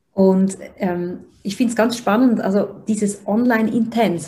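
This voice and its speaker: A woman talks at a very slow pace in a medium pitch. Her tone is dark and mellow, and somewhat breathy. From Switzerland. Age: 30s. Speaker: personal development coach, interviewer. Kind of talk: interview, asking questions. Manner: hesitant, many fillers.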